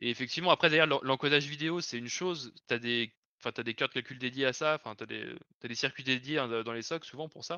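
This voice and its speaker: A man's very fast delivery at medium pitch with ordinary pitch variation. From Lyon region, France. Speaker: software developer. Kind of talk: casual chat. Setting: live stream.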